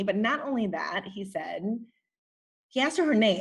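Her voice is somewhat breathy. The woman's intonation rises and falls in a lively way. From US Midwest (Racine, Wisconsin), born in the Philippines. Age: 40s. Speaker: novelist. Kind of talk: interview.

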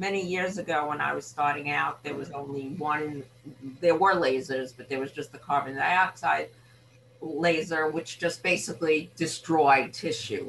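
A woman with an American accent, very deep and low in pitch, fairly even in intonation, at a moderate pace with big swings in loudness over noticeable background noise. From Brooklyn, New York City. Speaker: ear, nose and throat doctor. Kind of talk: casual interview.

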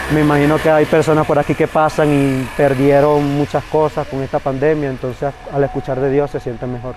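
Over noticeable background noise, a man with a fairly high pitch talks at a fairly quick pace in a monotone, flat intonation, with hardly any pauses. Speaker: migrant street singer. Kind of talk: field interview testimony.

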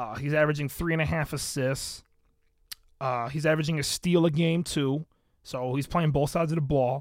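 Fairly high male voice at a moderate pace, on a very clean recording with a silent background. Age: 20s. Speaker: sports podcast host. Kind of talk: casual solo commentary. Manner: animated.

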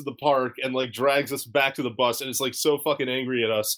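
A plain, everyday voice belongs to a man with a fairly high pitch. He speaks at a fairly quick pace. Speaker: podcast host. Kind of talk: casual chat.

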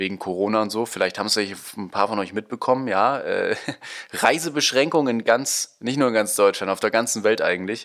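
Speaking at a fairly quick pace, a man uses an ordinary speaking voice at a medium pitch with ordinary pitch variation. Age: young. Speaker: podcast co-host. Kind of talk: casual chat.

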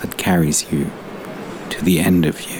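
Monotone, flat intonation at a moderate pace, with noticeable background noise. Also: man. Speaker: poet. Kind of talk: poetry reading.

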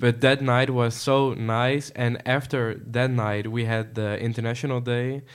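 A man's flat, monotone voice at a medium pitch, with a Dutch accent, in a very clean recording with a silent background. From Netherlands. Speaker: international exchange student. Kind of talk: casual podcast interview.

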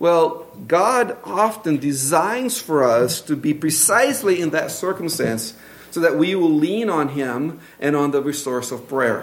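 Speaking with a Brazilian accent, a man with a fairly high pitch talks at a fairly slow pace with very wide pitch swings over noticeable background noise. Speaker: pastor. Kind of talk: sermon. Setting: church.

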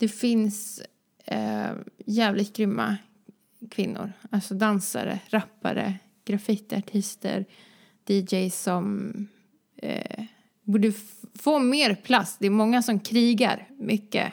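A woman's very slow, somewhat breathy speech, fairly even in intonation, with long, frequent pauses. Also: medium pitch for a woman. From Sweden, Vänersborg (born in Croatia). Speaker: dancer and entrepreneur. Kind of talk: casual interview.

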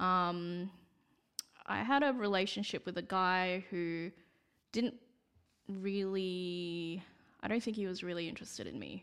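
Using a medium pitch and fairly even intonation, a woman talks at a fairly slow pace with long, frequent pauses. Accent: Australian. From Perth, Western Australia. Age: 20s. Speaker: retail store manager. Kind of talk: casual chat.

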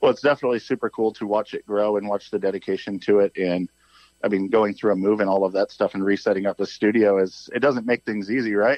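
Very fast speech with an American accent and fairly even intonation. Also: man, fairly low pitch for a man. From US Midwest. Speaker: suspension company representative. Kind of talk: casual interview. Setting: phone call.

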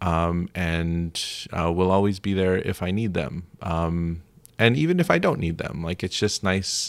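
On a very clean recording with a silent background, a man speaks. He has an American accent and a fairly slow pace. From Florida. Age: 30s. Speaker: improv performer. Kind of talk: casual chat.

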